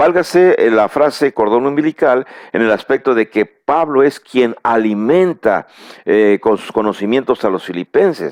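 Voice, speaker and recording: With lively intonation, the voice proceeds at a fairly slow pace. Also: man, medium pitch for a man. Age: 60s. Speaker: preacher. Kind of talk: bible teaching lecture. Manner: halting, with fillers and repeated words.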